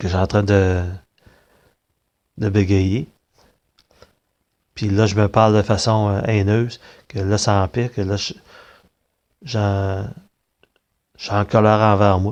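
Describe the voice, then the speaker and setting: With a Quebec accent, a man speaks at a very slow pace in a fairly low, monotone, flat voice, leaving long, frequent pauses against a quiet background. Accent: Québécois French. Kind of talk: personal monologue. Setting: recorded on tablet. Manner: halting.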